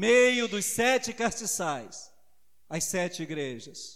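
The voice moves through very wide pitch swings at a very slow pace. The recording is very clean, with a silent background. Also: man. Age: 50s. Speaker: preacher. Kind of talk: sermon.

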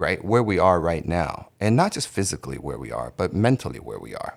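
Recorded very cleanly against a silent background, a man's voice moves through very wide pitch swings. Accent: American. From United States. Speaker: podcast host. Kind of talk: casual chat.

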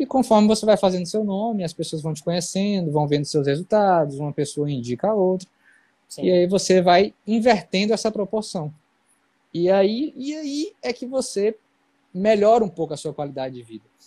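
A man speaks at a moderate pace in a high voice with a dark, mellow tone. His intonation is lively. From Bahia interior (Guanambi), near Minas Gerais. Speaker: neurosurgeon. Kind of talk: casual interview on a live stream. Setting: online live stream.

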